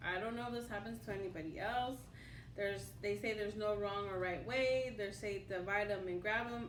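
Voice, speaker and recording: Woman at a fairly high pitch, with audible room echo. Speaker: tarot reader. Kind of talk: tarot reading to camera. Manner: halting, with repetitions and fillers.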